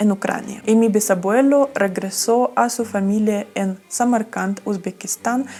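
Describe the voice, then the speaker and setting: A woman's fairly high voice at a fairly slow pace, with fairly even intonation, hardly any pauses and noticeable background noise. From Ukraine. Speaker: travel vlogger. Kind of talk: storytime talk to camera.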